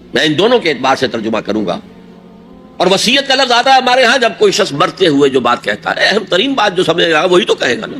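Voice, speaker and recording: Over music in the background, a man with a high voice swings his pitch very widely. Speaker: Islamic scholar. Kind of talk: religious sermon.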